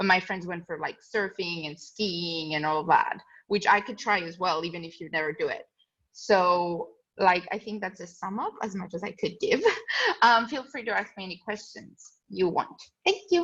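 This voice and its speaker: A woman's medium-pitched voice at a moderate pace, with ordinary pitch variation and big swings in loudness. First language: not English. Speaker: student ambassador. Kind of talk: casual talk to prospective students. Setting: webinar video call.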